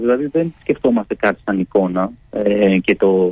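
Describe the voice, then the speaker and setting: His pitch swings very widely. The man speaks at a fairly slow pace. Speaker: band member. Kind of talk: radio interview. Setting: phone call.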